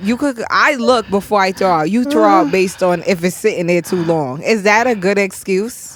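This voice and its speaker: In a New York accent, a woman talks at a moderate pace with lively intonation and hardly any pauses. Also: medium pitch for a woman. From New York, Brooklyn. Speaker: podcast host. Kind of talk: casual chat. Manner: animated.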